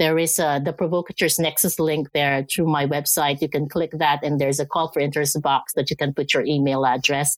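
With a very deep, low pitch, a woman talks at a fairly quick pace in a monotone, flat intonation, at very even loudness with hardly any pauses, on a very clean recording with a silent background. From Philippines. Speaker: consultant and author. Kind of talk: interview.

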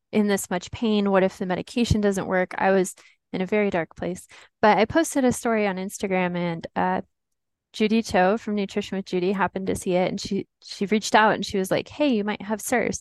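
A woman with a plain, everyday voice talks fairly quickly at a medium pitch, keeping her intonation fairly even. The sound is dry and close with no echo, and the background is quiet. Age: 20s. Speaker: patient sharing illness story. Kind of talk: personal testimony.

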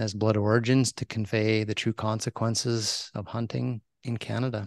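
A man with an ordinary speaking voice talks at a moderate pace and medium pitch, with fairly even intonation and hardly any pauses. The sound is dry and close with no echo, over a quiet background. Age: 50s. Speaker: hunting conservationist and podcaster. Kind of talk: casual interview.

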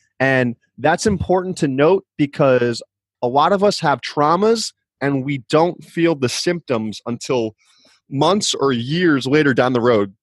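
Over a quiet background, a man with an American accent and an unremarkable speaking voice talks at a fairly slow pace, his fairly high pitch moving in lively intonation, the sound dry and close with no echo. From New Jersey. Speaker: chiropractor. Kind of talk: interview testimony.

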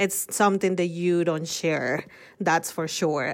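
On a very clean recording with a silent background, a woman with a Mexican accent speaks in a fairly low voice with fairly even intonation. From Mexico City. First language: Spanish. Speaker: nonprofit worker. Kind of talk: interview conversation.

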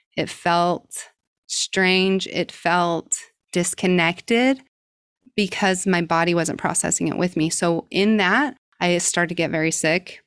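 On a very clean recording with a silent background, a woman with a Utah accent speaks at a medium pitch and a fairly slow pace, with ordinary pitch variation and a dry, close sound with no echo. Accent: American, Utah. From US, southern Utah. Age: 30s. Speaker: breath work coach. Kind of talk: interview.

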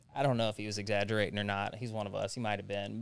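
A man with a Tennessee accent, talking at a very fast pace. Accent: Southern US (Tennessee). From US South, Jackson, Tennessee. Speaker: person in recovery from addiction. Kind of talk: interview testimony. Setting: studio.

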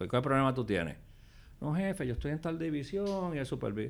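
A man talks fairly quickly while his pitch swings very widely. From Puerto Rico. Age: 60s. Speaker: former government official. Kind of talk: interview. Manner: casual.

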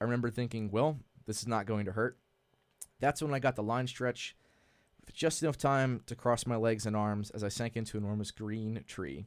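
The speaker has an American accent and a fairly quick pace, with ordinary pitch variation. The recording is very clean, and the background is silent. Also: man, medium pitch for a man. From New York, Hudson Valley. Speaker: army pilot and skydiver. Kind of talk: casual chat. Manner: halting.

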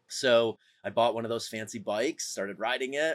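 Heard on a very clean recording with a silent background, a man with an American accent uses a plain, everyday voice at a moderate pace. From upstate New York, Syracuse area. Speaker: endurance athlete and entrepreneur. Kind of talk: casual interview.

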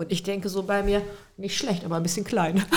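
This is a woman. She talks in a normal speaking voice. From Lower Saxony, Hildesheim. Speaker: criminal defense lawyer. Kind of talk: casual chat.

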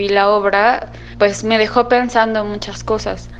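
A woman of medium pitch talks at a fairly slow pace with fairly even intonation. Noticeable background noise is present. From Mexico. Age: 20s. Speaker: theatre audience member. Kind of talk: recorded testimony. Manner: hesitant, many fillers.

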